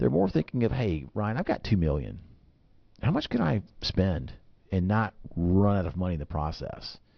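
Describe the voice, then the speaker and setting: With an Alabama accent, a man speaks at a moderate pace in a very deep, low pitch, using lively intonation and long, frequent pauses. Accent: Alabama Southern twang. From Alabama (Birmingham). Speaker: financial advisor, radio host. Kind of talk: radio talk show chat. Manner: repetitive, many fillers and restarts.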